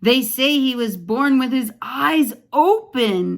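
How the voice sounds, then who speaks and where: In a put-on character voice, a woman talks at a high pitch and a very slow pace. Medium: read story. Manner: gossipy, teasing.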